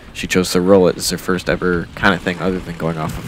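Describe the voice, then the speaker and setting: A man with an American accent speaks at a very deep, low pitch with fairly even intonation. He goes at a very fast pace over noticeable background noise. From Minnesota. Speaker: mountain biking vlogger. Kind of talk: voiceover commentary.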